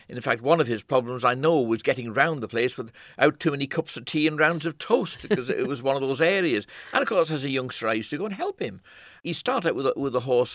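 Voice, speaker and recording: Talking at a very fast pace against a quiet background, a man with a Manx accent uses a fairly high pitch. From Isle of Man. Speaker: photographer. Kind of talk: interview.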